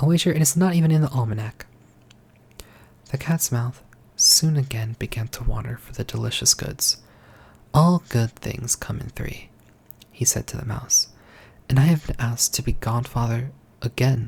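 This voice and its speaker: The soft-spoken voice moves at a moderate pace with long, frequent pauses. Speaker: ASMR storyteller. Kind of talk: fairy tale reading.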